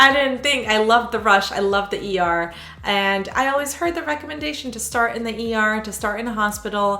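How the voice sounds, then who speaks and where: With lively intonation, a woman talks at a fairly quick pace in a fairly high voice, with audible room echo. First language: Hebrew. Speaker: sonographer. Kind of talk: casual Q&A vlog. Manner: conversational, with frequent fillers.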